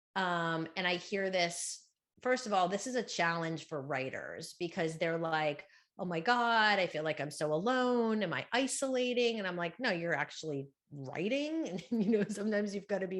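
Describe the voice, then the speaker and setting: A woman at a moderate pace, fairly low in pitch, with lively intonation over a quiet background. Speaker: book coach and speaker. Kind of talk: conference talk. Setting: stage with audience. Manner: loud; animated.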